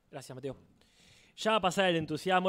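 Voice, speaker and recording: A man speaks very fast in a high voice, recorded very cleanly against a silent background. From Argentina. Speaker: podcast co-host. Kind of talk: casual chat. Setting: live show with audience.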